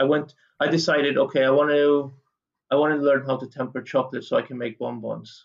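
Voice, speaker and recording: Monotone and flat, a man's medium-pitched voice proceeds at a moderate tempo. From Canada until 12, then Malta. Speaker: chef. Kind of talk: interview.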